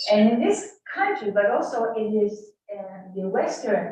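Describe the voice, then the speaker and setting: Audible room echo surrounds the voice. A woman speaks at a very slow pace. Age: 80s+. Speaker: study group participant. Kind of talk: group discussion.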